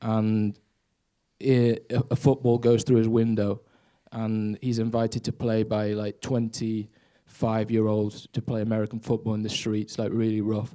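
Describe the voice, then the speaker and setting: The recording is very clean with a silent background, and a man speaks at a moderate pace. His tone is dark and mellow, with monotone, flat intonation. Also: medium pitch for a man. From Spain, English father. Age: 20s. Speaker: aspiring filmmaker, audience member. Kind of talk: audience question at Q&A. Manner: halting.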